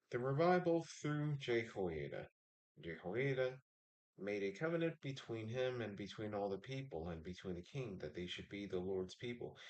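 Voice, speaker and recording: Mumbling at a moderate pace, a man at medium pitch makes very wide pitch swings. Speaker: livestreamer reading the Bible. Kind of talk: reading aloud. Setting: live stream with chat.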